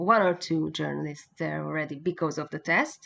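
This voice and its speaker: A woman speaks with a Hungarian accent. Her pace is moderate. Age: 40s. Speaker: motorcycle racing journalist and former racer. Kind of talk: interview. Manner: halting.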